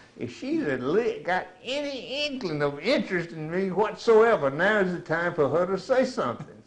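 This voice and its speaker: A man with an American accent speaks at a moderate pace with hardly any pauses. His high pitch swings very widely over noticeable background noise. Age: 70s. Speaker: war veteran. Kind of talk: oral history interview.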